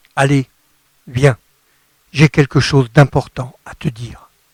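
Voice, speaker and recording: A man speaks at a very slow pace in a fairly high pitch, somewhat breathy. The sound is dry and close, with no echo. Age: 60s. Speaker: gospel singer-songwriter. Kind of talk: radio interview.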